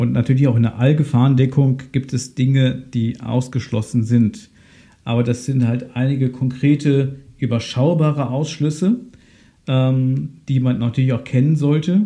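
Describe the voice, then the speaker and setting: A man's medium-pitched, dark and mellow voice, somewhat breathy, at a fairly slow pace with fairly even intonation and very even loudness. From Germany, Ahr valley (Rhineland-Palatinate). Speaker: insurance advisor, podcast host. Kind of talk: solo podcast explainer.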